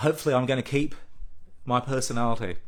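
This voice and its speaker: Man in an Australian accent. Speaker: patient advocacy group president. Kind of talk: live social media address. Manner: halting.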